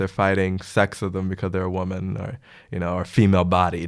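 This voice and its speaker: Someone with an American accent speaks on a very clean recording against a silent background. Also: man. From US Midwest, Chicago. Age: 20s. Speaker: exchange student. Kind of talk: roundtable discussion.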